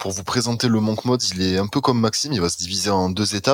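A man talks in a normal speaking voice at a fairly low pitch. His pitch varies in an ordinary way. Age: 20s. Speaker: student and marketing agency owner. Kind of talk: casual chat.

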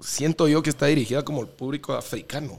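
The man's fairly high voice proceeds at a moderate pace, captured in a very clean recording against a silent background. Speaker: DJ and podcast co-host. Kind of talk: casual chat.

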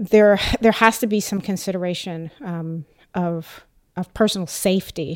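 The recording is very clean, with a silent background. A woman with an American accent has a normal speaking voice, a fairly low pitch and fairly even intonation. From United States. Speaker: writer and PhD candidate. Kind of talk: group discussion. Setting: studio.

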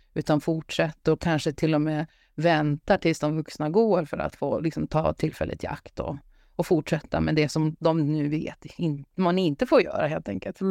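A woman talks at a moderate pace with a very deep, low pitch and a dark, mellow tone. Her pitch varies in an ordinary way, and the sound is dry and close with no echo. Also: quiet background. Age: 50s. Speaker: psychologist. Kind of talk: casual chat.

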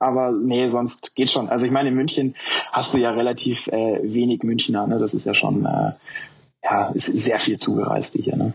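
A man talks at a medium pitch with monotone, flat intonation. His loudness stays very even. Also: moderate pace. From northern Germany, near Hannover. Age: 20s. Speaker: running shoe industry employee. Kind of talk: casual chat.

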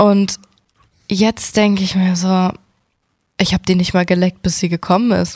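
Somewhat breathy and medium in pitch, a woman speaks in a monotone, flat intonation at very even loudness, with long, frequent pauses and a dry, close sound with no echo. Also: moderate pace. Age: 20s. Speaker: podcast co-host. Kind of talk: casual chat.

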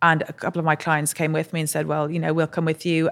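Recorded very cleanly against a silent background, a woman speaks with a very deep, low pitch. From Ireland. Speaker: entrepreneur, drinks brand co-founder. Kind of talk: interview. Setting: studio.

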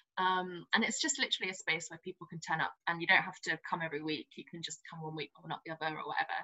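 A woman speaks at a very fast pace in a fairly low pitch. Her intonation is fairly even. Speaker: jazz singer and drag king performer. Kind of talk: casual interview chat. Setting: video call from home.

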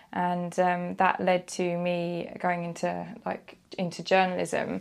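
With a British accent, a woman speaks at a fairly slow pace and fairly low pitch, her intonation fairly even, in a very clean recording with a silent background. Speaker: freelance journalist. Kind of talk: casual chat.

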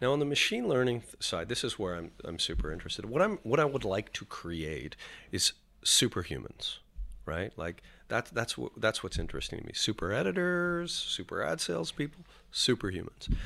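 A man speaks at medium pitch with vocal fry and very wide pitch swings. The recording is very clean, with a silent background. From Canada. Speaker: media executive. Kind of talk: interview. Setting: studio. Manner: halting.

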